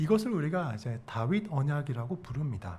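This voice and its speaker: With audible room echo, a man speaks at a moderate pace in a somewhat breathy, dark, mellow tone, his fairly high pitch moving in very wide swings. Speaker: pastor. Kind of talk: sermon.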